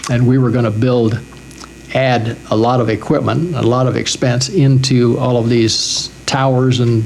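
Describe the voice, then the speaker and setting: Noticeable background noise sits behind a man speaking at a fairly slow pace. His pitch is medium and his intonation fairly even. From Wyoming. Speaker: cable television executive. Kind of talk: oral history interview answer.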